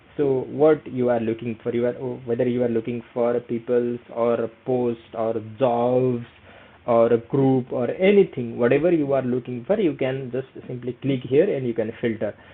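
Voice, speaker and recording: A man with a Nepali accent, medium-pitched, at a moderate pace and with fairly even intonation. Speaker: career skills YouTuber. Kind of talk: tutorial. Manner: hesitant, many fillers; casual.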